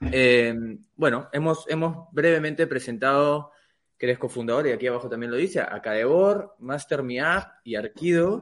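This man's fairly high voice moves at a fairly slow pace with ordinary pitch variation. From Peru. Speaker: podcast co-host. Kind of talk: podcast interview. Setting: studio.

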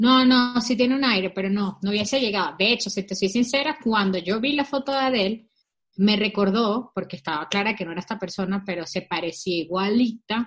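A woman with a somewhat breathy, medium-pitched voice talks at a fairly quick pace with ordinary pitch variation. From Venezuela. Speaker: podcast co-host. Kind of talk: casual chat. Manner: animated.

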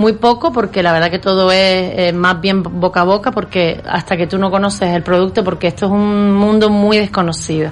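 In an unremarkable speaking voice, a woman of medium pitch talks at a moderate pace with hardly any pauses, very even loudness and fairly even intonation. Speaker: professional organizer. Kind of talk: casual interview.

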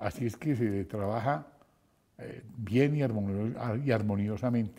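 Speaking at a very slow pace, a man uses a dark, mellow tone and lively intonation. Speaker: radio host. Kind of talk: interview. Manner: halting.

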